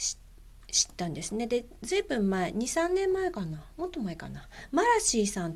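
In a relaxed, gentle tone, a woman speaks with very wide pitch swings. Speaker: podcast host. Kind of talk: casual monologue. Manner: frequent fillers.

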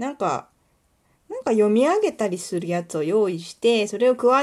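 This woman's fairly high voice swings very widely in pitch. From Kuwana, Mie, Japan. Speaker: podcaster and illustrator. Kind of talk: casual solo monologue. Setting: home recording, nighttime. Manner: fast, run-on speech.

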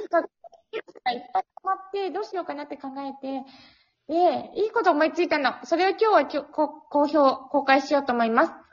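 Her high-pitched voice moves at a fairly quick pace, as the woman speaks with lively intonation and big swings in loudness. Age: 20s. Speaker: podcast guest. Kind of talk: casual chat. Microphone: poor audio quality.

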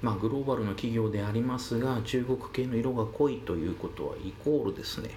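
A man at a medium pitch talks at a fairly quick pace with hardly any pauses. Noticeable background noise and audible room echo come through. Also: ordinary pitch variation. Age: 40s. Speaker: solo podcaster. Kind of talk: monologue commentary. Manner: many filler pauses.

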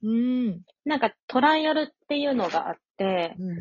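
Somewhat breathy, a woman speaks at a fairly high pitch that makes very wide swings. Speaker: working holiday traveler in Australia. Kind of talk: casual chat.

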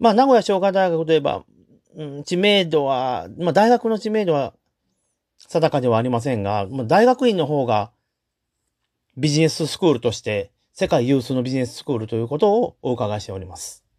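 At a moderate pace, a man with a fairly high pitch shows very wide pitch swings and big swings in loudness. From Chugoku region, western Japan. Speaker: podcast host. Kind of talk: solo podcast monologue. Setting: home. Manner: polite, formal.

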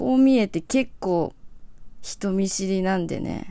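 A woman's relaxed, medium-pitched voice at a fairly slow pace. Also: very clean recording, silent background. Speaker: singer-songwriter hosting a solo radio show. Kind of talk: casual solo talk show monologue. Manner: relaxed, laid-back.

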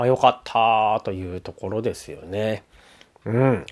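A man speaks in a relaxed tone in a very clean recording with a silent background. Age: 30s. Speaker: musician and podcast host. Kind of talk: casual solo talk. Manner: relaxed, many fillers.

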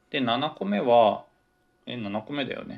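A man talks at a fairly slow pace and medium pitch in a normal speaking voice. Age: 20s. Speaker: podcaster, office worker and grad student. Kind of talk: solo casual talk. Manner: rambling, self-correcting.

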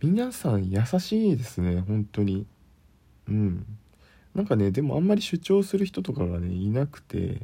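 A man talks at a moderate pace in a dark, mellow, somewhat breathy tone that stays relaxed and calm. His medium-pitched voice swings very widely in pitch, and the recording is very clean with a silent background. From Kyushu, Japan. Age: 20s. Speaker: podcaster, office worker. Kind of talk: casual solo talk. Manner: relaxed, calm.

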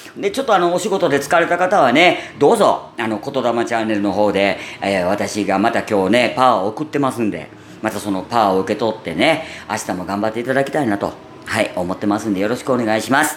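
Over noticeable background noise, a man talks at a very fast pace with a medium pitch and lively intonation. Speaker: podcaster. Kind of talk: casual solo talk. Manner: natural, unaffected voice.

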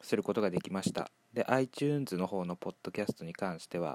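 A man's calm tone at a moderate pace, the sound dry and close with no echo. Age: 20s. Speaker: solo podcaster. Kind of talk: casual monologue.

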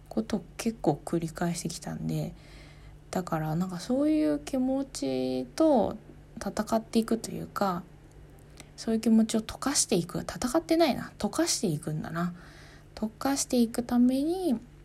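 A woman's somewhat breathy, dark, mellow voice, fairly high in pitch with very wide pitch swings, at a moderate pace in a very clean recording with a silent background. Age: 30s. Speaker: podcaster, office worker. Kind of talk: solo talk. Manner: calm.

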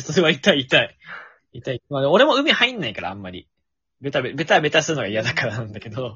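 Talking at a fairly quick pace, a man with a fairly high pitch uses lively intonation and big swings in loudness. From Fukuoka, Japan. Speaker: podcaster. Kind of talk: casual chat. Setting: late-night online collab recording.

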